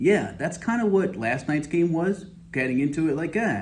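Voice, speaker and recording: Audible room echo surrounds a man's somewhat breathy voice. He speaks at a moderate pace with very wide pitch swings. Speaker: fantasy football commentator. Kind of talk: casual monologue video. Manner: halting, stammering.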